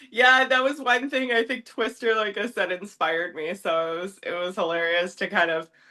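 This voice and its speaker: A woman with a Canadian accent talks at a moderate pace, hardly pausing at all. Her medium-pitched, normal speaking voice carries lively intonation. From Southwestern Ontario, Canada. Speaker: nutritionist and advanced esthetician. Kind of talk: casual interview chat.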